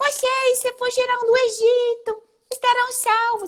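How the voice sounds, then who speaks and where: Squeaky and shrill, a put-on character voice at an extremely high pitch moves at a fairly slow pace with monotone, flat intonation. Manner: silly, mocking.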